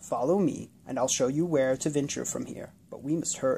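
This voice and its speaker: A man speaks at a moderate pace in a croaky, put-on character voice with fairly high pitch. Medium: read story. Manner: calm, plain.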